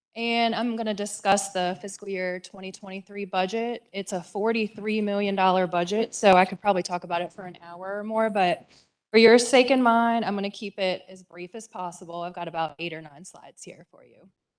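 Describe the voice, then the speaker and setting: A woman's normal speaking voice at a fairly quick pace, with big swings in loudness. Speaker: county finance director. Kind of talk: budget presentation at public meeting. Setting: county board meeting.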